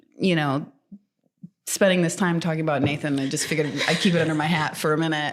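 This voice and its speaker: A woman's very deep, low voice with a slight Canadian accent, very fast yet broken by long, frequent pauses, in monotone, flat intonation. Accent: slightly Canadian-sounding. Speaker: podcast co-host. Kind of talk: casual chat. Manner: halting, many fillers and restarts.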